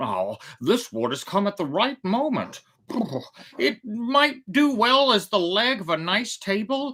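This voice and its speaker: A woman speaks in a put-on character voice with a fairly high pitch. Her pace is fairly slow. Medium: read story. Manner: nervous, excitable.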